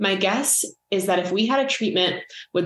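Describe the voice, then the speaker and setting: Audible room echo surrounds a woman's voice. She uses ordinary pitch variation. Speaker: dietitian and author. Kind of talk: reading aloud from own book. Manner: calm and measured while reading.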